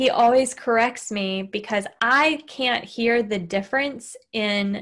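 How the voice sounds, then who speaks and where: Over a silent background in a very clean recording, a woman with a Southern US accent talks at a very slow pace, her fairly high pitch showing ordinary variation. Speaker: podcast host. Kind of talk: casual chat. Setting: recorded podcast with husband.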